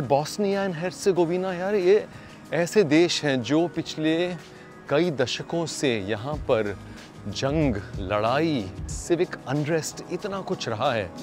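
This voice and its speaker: Music plays in the background. A man speaks at a fairly high pitch with very wide pitch swings. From India. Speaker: voice artist. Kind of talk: casual travel vlog talk to camera. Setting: outdoors.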